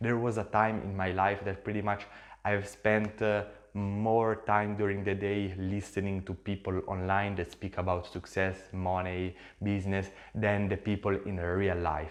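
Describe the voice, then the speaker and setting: A man's fairly low, fairly slow voice in monotone, flat intonation. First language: Italian. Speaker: social media entrepreneur, YouTuber. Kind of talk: casual vlog talk to camera. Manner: halting, with fillers.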